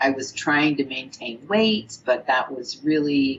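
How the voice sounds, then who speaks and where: Fairly slow speech from a woman with lively intonation. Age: 60s. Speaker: program participant. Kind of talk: testimony.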